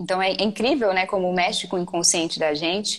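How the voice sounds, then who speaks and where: A woman speaks in an ordinary speaking voice at a fairly quick pace. Her pitch variation is ordinary. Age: 20s. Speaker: writer and writing mentor. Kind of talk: casual chat.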